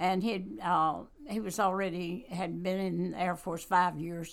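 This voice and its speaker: Speaking with a Southern US accent, a woman uses ordinary pitch variation. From US South (North Carolina). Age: 80s+. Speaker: church member, author and Bible study leader. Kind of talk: casual interview.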